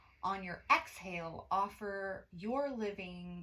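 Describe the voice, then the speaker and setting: A woman speaks with a bright, sharp tone and lively intonation. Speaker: witchcraft teacher and priestess. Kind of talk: ritual workshop instruction. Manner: loud.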